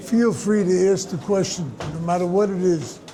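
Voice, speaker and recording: This man has a high pitch and fairly even intonation, speaking at a fairly slow pace. Audible room echo and noticeable background noise fill the recording. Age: 80s+. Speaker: rabbi teacher. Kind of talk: question and answer talk.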